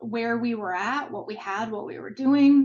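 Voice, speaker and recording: A woman's high-pitched voice at a fairly slow pace, with a slight Minnesota accent. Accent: slight Minnesota accent on the O. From Minnesota, US Midwest. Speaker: marketing executive. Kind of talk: interview. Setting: video call.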